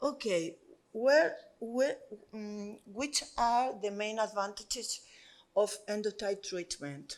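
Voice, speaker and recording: A woman speaks in a Spanish accent at a very slow pace. Her pitch is fairly high, with ordinary variation. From Spain. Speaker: doctor. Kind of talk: conference presentation. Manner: halting.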